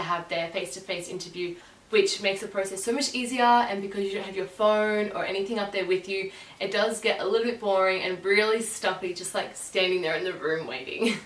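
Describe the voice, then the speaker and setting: A woman with an Australian accent speaks at medium pitch and a fairly quick pace with fairly even intonation, amid audible room echo and noticeable background noise. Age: 20s. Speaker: vlogger, former summer camp counselor. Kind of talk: casual vlog talk to camera. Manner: chatty.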